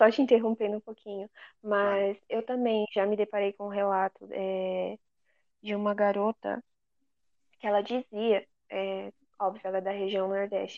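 A woman with a medium pitch speaks at a moderate pace in monotone, flat intonation, leaving long, frequent pauses. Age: 20s. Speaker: law graduate. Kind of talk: casual chat.

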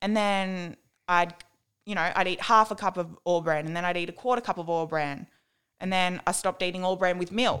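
A woman with an Australian accent, medium pitch, fairly even intonation and a moderate pace, on a very clean recording with a silent background. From New South Wales, Australia (Dubbo, Warren). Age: 20s. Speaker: guest sharing eating disorder recovery. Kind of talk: testimony.

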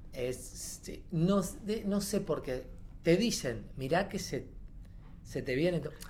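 In a room with audible echo, a man with a high pitch speaks very slowly with long, frequent pauses and ordinary pitch variation. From Argentina, Córdoba province (Corral de Bustos). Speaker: actor and creative theatre teacher. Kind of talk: casual chat.

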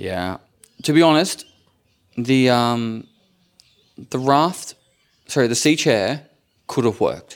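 Speaking with an Australian accent, a man uses lively intonation at a medium pitch and a very slow pace, with long, frequent pauses. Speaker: content creator, podcast co-host. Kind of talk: casual chat. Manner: animated presenter voice when recording.

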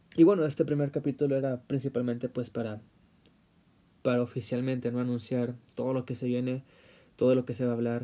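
At a fairly quick pace broken by long, frequent pauses, a man speaks with a medium pitch and fairly even intonation. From Mexico, Puebla. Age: 20s. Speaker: podcaster. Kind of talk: solo podcast monologue. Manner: halting, many fillers.

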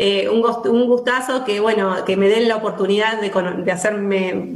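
Room echo and noticeable background noise surround a woman's fairly high voice. She talks fairly slowly with fairly even intonation. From Argentina, Buenos Aires province (Alberti). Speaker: local politician. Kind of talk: radio interview. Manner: halting, many fillers.

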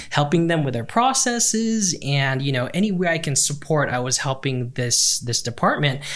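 A man talks at a moderate pace with a fairly high pitch and hardly any pauses. Noticeable background noise sits behind him. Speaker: learning and development guest. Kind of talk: podcast interview.

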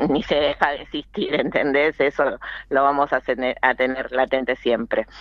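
A woman's very deep, low-pitched voice. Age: 50s. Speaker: cooperative worker. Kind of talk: interview. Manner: halting.

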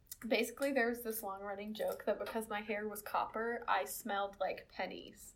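The speaker has an American accent and a monotone, flat intonation. There are hardly any pauses. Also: woman, fairly high pitch for a woman, moderate pace. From South Carolina. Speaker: podcast co-host. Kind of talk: casual chat.

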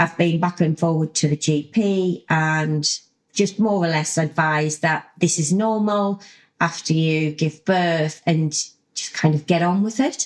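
With a British accent, a woman speaks fairly slowly at a fairly low pitch and with fairly even intonation. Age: 40s. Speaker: podcast host, lifestyle coach. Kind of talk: solo podcast monologue.

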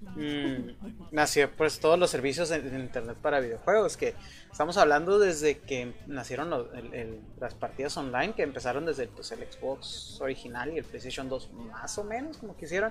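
A man talks at a moderate pace in a fairly high pitch, his intonation lively. His loudness swings widely, and music plays in the background. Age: 20s. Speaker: podcast host. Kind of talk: casual chat. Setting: online voice call.

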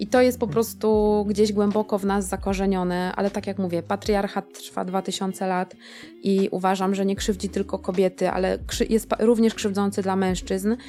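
With music in the background, a woman talks fairly quickly at medium pitch and fairly even intonation. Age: 40s. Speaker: teacher. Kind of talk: casual chat.

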